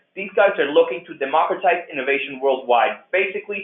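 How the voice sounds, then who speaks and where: A man is speaking. His pace is fairly quick. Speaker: program coordinator presenting orientation. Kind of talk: online orientation presentation. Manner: fast; frequent fillers and restarts.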